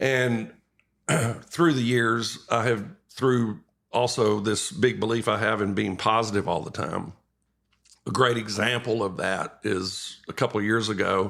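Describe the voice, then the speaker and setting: A fairly slow pace in a Texan accent, with long, frequent pauses. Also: man, fairly low pitch for a man, ordinary pitch variation. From East Texas. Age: 60s. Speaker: retired fishing guide. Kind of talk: casual chat.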